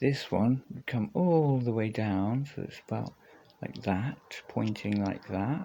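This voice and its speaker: A soft-spoken man at a medium pitch, very slow pace, ordinary pitch variation and a dark, mellow tone. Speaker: guitarist vlogger. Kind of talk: casual gear demo talk. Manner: quiet, speaking softly.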